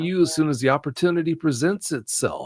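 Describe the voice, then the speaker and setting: A man with an unremarkable speaking voice and a fairly high pitch talks at a moderate pace in a very clean recording with a silent background. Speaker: cryptid researcher and podcaster, dogman show host. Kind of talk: podcast guest interview, explanatory talk.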